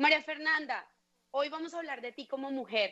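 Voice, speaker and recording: A woman's raised, projected voice, bright and sharp in tone, at a fairly quick pace. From Colombia. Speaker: podcast host. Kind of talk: interview.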